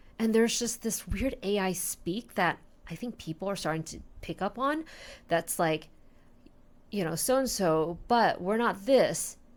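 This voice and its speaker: A woman's normal speaking voice at medium pitch, with lively intonation and a fairly slow pace, on a very clean recording with a silent background. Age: 40s. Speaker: industrial designer and entrepreneur. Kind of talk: casual talk to camera. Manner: unscripted, reflective.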